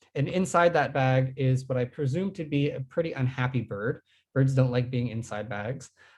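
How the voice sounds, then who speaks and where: Somewhat breathy and fairly high-pitched, a man talks at a moderate pace with ordinary pitch variation over a quiet background. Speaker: guest speaker, bird researcher. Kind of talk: online lecture.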